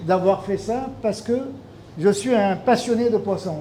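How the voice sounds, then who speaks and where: Amid noticeable background noise, a man with a high pitch speaks at a moderate pace. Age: 60s. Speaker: fisheries expert. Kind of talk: speech at a launch event.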